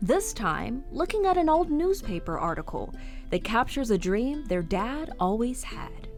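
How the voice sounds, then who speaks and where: A woman talks at a moderate pace, her pitch swinging very widely. Music can be heard in the background. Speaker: TV reporter. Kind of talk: TV news feature narration.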